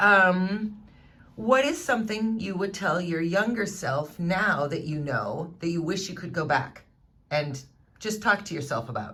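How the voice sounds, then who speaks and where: A woman's medium-pitched, bright, sharp voice with lively intonation at a fairly slow pace, plus audible room echo. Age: 40s. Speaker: livestream host. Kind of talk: interview. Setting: livestream.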